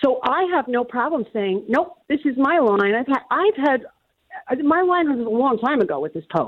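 The speech keeps a moderate pace. Its pitch swings very widely. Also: woman, high pitch for a woman. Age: 60s. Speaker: caller. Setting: phone call.

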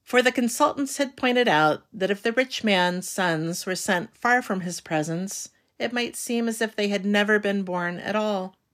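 In a very clean recording with a silent background, a woman uses an ordinary speaking voice at a medium pitch with ordinary pitch variation. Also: moderate pace, hardly any pauses. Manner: measured, storyteller-like, wry and formal tone.

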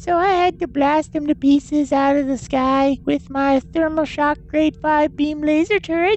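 Using a put-on character voice, a woman speaks high-pitched at a moderate pace with hardly any pauses, very even loudness and fairly even intonation, against clear background noise. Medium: audio drama. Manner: sugary, folksy.

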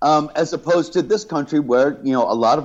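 A man with an American accent speaks in a plain, everyday voice, fairly quickly and with lively intonation. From New York and Southern California. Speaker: reality TV contestant. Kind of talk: casual interview.

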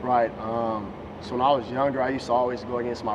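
There is audible room echo and noticeable background noise as a man at a medium pitch talks at a fairly quick pace. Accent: American. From Las Vegas, US. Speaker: basketball draft prospect. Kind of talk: interview.

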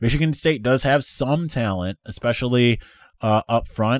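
Man with a plain, everyday voice at a medium pitch, lively intonation and a moderate pace, with a dry, close sound, no echo, and a very clean recording with a silent background. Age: 30s. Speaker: sports podcast host. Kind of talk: casual mailbag chat.

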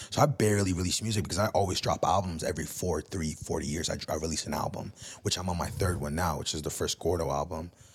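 A man's very deep, low, somewhat breathy voice at a very fast pace, in a very clean recording with a silent background. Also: ordinary pitch variation. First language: Spanish. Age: 30s. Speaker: music producer and DJ. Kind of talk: casual chat.

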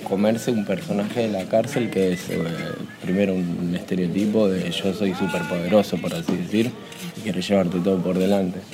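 There is audible room echo and noticeable background noise as a man speaks in a fairly low pitch. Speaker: inmate in braille workshop. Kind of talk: interview testimony. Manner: halting.

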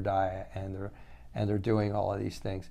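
Audible room echo surrounds a man speaking at a moderate pace and a fairly low pitch. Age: 60s. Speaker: functional medicine doctor. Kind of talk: monologue lecture. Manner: repetitive, halting restarts.

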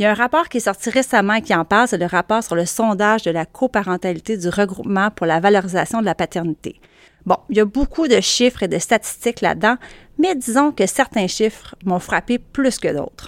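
A woman with a Quebec accent talks at a fairly quick pace with lively intonation, her dry, close sound free of echo in a very clean recording with a silent background. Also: medium pitch for a woman. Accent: Québécois French. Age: 40s. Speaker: journalist and podcast host. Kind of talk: solo audio column, conversational monologue. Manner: casual, chatty.

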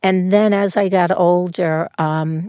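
A woman with a New York accent, in a dry, close sound with no echo. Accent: Bronx New York. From New York, the Bronx. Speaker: casting director. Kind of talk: interview conversation. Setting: studio.

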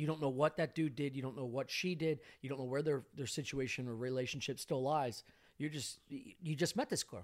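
With ordinary pitch variation, a plain, everyday voice speaks fairly quickly. The background is silent on this very clean recording. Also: man, fairly high pitch for a man. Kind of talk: casual chat. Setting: studio.

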